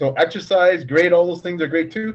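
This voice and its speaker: The voice has an animated tone and ordinary pitch variation. It moves at a fairly quick pace. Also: man. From Canada. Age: 50s. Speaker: novelist. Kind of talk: casual interview chat.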